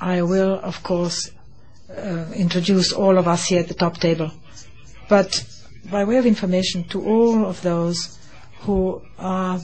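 A woman at a fairly slow pace, with long, frequent pauses and fairly even intonation. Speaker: conference host or his interpreter. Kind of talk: opening speech. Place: hall. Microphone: podium.

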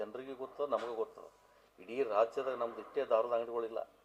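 A man's voice at medium pitch. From Vijayapura (Bijapur), north Karnataka. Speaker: local politician. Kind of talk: press conference.

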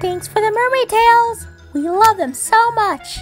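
A woman uses a put-on character voice, squeaky and extremely high in pitch, at a fairly slow pace. Clear music plays in the background. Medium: machinima. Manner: lively, chatty.

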